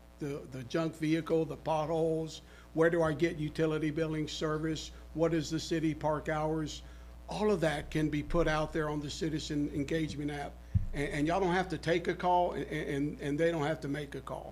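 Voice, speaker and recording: Room echo is audible around a man's fairly high voice. He speaks at a moderate pace in a flat monotone. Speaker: sales presenter. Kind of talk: sales pitch. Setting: city council meeting. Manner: loud; halting.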